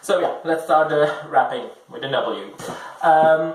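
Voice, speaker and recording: A man speaks very slowly amid noticeable background noise and audible room echo. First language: not English (third or later language). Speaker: book vlogger. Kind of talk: casual vlog talk to camera. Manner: halting, many fillers.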